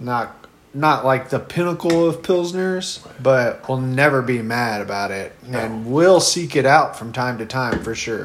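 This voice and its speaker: The speaker keeps a moderate pace with hardly any pauses and ordinary pitch variation over noticeable background noise. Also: man, medium pitch for a man. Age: 30s. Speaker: podcast co-host. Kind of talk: casual chat while drinking beer.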